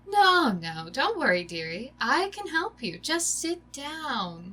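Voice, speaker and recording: Putting on a character voice, a woman talks fairly slowly in a high pitch with very wide pitch swings. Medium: read story. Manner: sweetly coaxing, grandmotherly.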